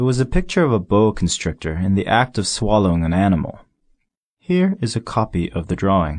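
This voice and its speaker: Speaking fairly quickly, a man with a fairly low pitch and ordinary pitch variation has an unremarkable speaking voice. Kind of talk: audiobook reading aloud of a literary story, first-person narration. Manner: measured, storytelling pace with expressive, slightly wry narration.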